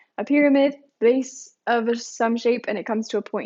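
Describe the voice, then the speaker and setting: A woman's fairly high voice at a moderate pace. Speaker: math teacher. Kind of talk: lecture. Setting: live stream. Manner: halting.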